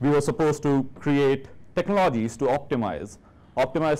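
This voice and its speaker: In a very clean recording with a silent background, a man with an Indian accent speaks at a fairly high pitch with ordinary pitch variation. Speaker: software engineer, conference speaker. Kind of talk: conference talk.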